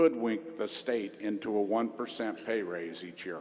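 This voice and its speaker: A man's fairly low voice with a Midwestern US accent, at a moderate pace. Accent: US Midwest. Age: 60s. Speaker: union leader. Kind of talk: convention speech. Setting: stage with audience.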